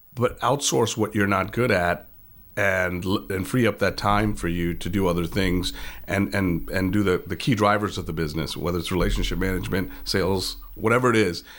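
A man with an American accent talks at a fairly quick pace in a very deep, low voice with vocal fry. His pitch variation is ordinary, and the recording is very clean with a silent background. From outside the United States. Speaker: business owner. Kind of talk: interview. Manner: hesitant, many fillers.

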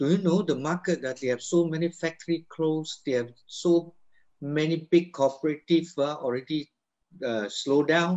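With a plain, everyday voice, a man talks at a moderate pace, his fairly high pitch showing ordinary pitch variation. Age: 60s. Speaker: network marketing business leader. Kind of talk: motivational talk.

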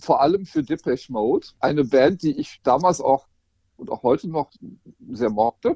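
The man's lively intonation comes through in a dry, close sound with no echo. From Rhineland, western Germany. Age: 50s. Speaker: portrait photographer. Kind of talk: casual interview.

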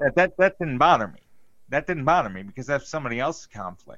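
A man with very wide pitch swings against a quiet background. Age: 30s. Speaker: podcast co-host. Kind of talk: casual chat.

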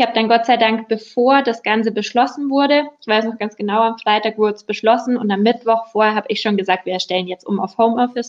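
Very fast delivery with fairly even intonation. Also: woman, fairly high pitch for a woman. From Upper Bavaria, Germany. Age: 20s. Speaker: insurance broker, business owner. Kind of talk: casual interview.

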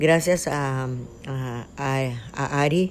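A woman speaks with a very deep, low pitch. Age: 70s. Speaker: traditional midwife and healer. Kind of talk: interview.

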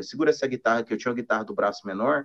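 Captured close and dry, this man's voice carries no echo at all. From Minas Gerais, Brazil. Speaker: singer-songwriter and guitarist. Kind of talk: casual interview chat. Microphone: weak connection.

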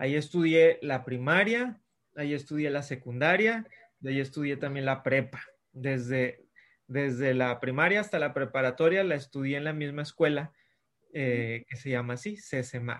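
With an unremarkable speaking voice, a man talks at a fairly high pitch with ordinary pitch variation. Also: fairly slow pace. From Mexico, Monterrey. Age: 30s. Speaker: children's author. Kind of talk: interview. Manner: friendly, casual.

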